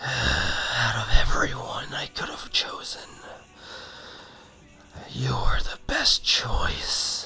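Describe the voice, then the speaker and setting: A man does a put-on character voice that is raspy and extremely high. He speaks very slowly. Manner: eerie, sinister.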